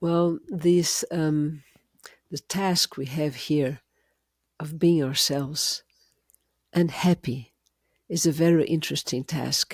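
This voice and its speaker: In a very clean recording with a silent background and a dry, close sound with no echo, a woman with a Portuguese accent speaks at a very deep, low pitch, at a very slow pace with long, frequent pauses and fairly even intonation. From Brazil. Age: 70s. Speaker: educator in prenatal education. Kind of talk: interview conversation.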